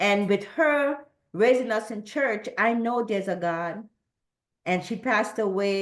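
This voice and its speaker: Against a quiet background, a woman with an American accent speaks at a fairly slow pace and medium pitch. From Trinidad. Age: 60s. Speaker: churchgoer sharing testimony. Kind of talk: testimony. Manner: halting, with repeated words.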